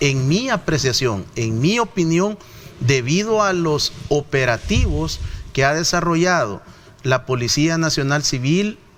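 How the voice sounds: With a fairly bright tone, a man talks with ordinary pitch variation.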